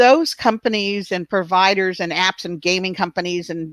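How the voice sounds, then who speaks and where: A woman with a normal speaking voice talks at medium pitch and a moderate pace. The sound is dry and close with no echo. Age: 60s. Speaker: online safety advocate, summit host. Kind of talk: video interview.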